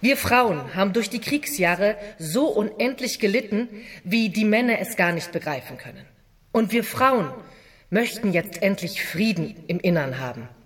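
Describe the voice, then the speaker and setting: A woman's medium-pitched voice with very wide pitch swings, fairly slow in pace, over noticeable background noise. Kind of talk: dramatized reading of 1919 political speech and memoir. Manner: earnest, firm, declamatory and emphatic.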